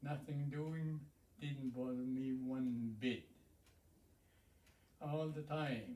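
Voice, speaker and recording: With a dark, mellow tone and fairly even intonation, the voice moves at a very slow pace with long, frequent pauses. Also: man, fairly high pitch for a man. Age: 80s+. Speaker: First Nations elder and hereditary chief. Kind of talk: interview, life story. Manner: halting.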